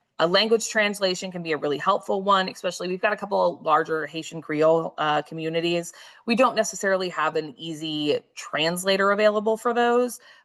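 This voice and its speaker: A woman with medium pitch speaks fairly quickly in an ordinary speaking voice, with ordinary pitch variation and hardly any pauses. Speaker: telehealth program coordinator. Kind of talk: presentation with slides.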